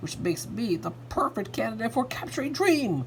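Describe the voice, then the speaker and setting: Over clear background noise, a man does a put-on character voice at a high pitch and a moderate pace. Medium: read story.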